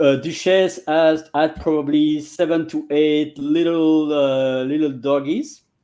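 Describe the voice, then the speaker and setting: Very slowly and with hardly any pauses, a man with a fairly high voice speaks in a monotone, flat intonation, his loudness swinging widely. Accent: Belgian French. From Belgium. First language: French. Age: 40s. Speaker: language coach. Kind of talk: casual interview. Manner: halting.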